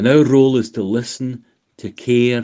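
The background stays quiet. Against it, a man talks in a dark, mellow tone. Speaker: volunteer. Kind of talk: recorded self-introduction.

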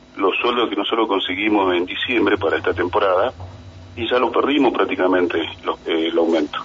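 A man talks at a fairly quick pace. Noticeable background noise runs beneath him. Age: 40s. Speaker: trade union leader. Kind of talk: radio interview.

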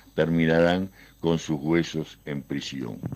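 A man's very deep, low pitch at a very slow pace, in a very clean recording with a silent background. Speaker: human rights activist. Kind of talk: recorded statement.

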